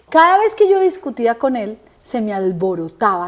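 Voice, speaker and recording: A woman is speaking. Her tone is animated. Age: 50s. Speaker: interviewee sharing life story. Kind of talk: interview testimony.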